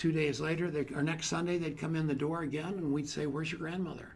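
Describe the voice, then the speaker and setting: A man talks at a very fast pace with fairly high pitch. Audible room echo is present. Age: 60s. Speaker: motivational speaker on networking. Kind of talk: seminar talk. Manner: animated.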